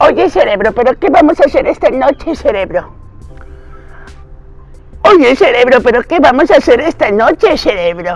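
Using a squeaky, put-on character voice, a man speaks at an extremely high pitch and moderate pace, with faint music in the background. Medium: tutorial demo. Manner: slightly dopey.

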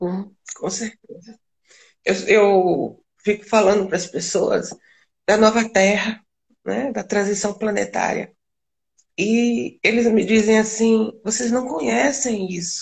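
Speaking at a very slow pace with long, frequent pauses, a woman uses a fairly high pitch with ordinary pitch variation and vocal fry. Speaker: spiritual channeler and live stream host. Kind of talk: casual spiritual chat on a live stream. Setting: video call live stream.

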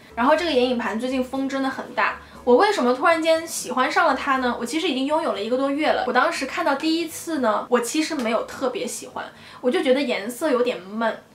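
Over noticeable background noise and audible room echo, a woman talks very fast in a high pitch with ordinary pitch variation. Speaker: beauty vlogger. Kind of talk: product review vlog.

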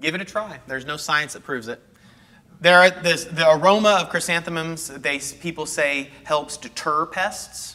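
Big swings in loudness mark this man's bright, sharp, fairly high voice, which carries a Texan accent, fairly even intonation, and a moderate pace. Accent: Texan American English. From North Texas. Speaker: horticulturist giving a gardening class; presenter. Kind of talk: lecture. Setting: classroom with live audience, on a mic. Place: hall. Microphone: lapel.

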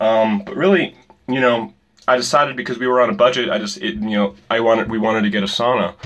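The voice shows ordinary pitch variation over a quiet background. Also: man. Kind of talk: casual vlog chat. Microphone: phone near.

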